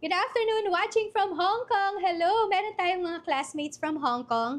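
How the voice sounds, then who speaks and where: Against a quiet background, a woman with a Filipino accent and an extremely high pitch talks at a fairly slow pace with lively intonation. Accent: Filipino (Tagalog). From Philippines, Bulacan. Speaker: online business coach. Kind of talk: live-stream workshop. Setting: livestream. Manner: casual, code-switching Tagalog-English.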